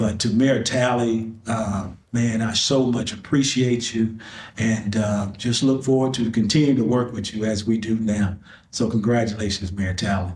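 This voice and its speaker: A man's somewhat breathy voice at medium pitch, moderate pace and fairly even intonation, with audible room echo. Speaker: community member giving tribute. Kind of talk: testimony.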